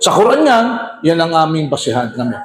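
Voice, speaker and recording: A loud man with a high pitch. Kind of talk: religious debate. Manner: animated.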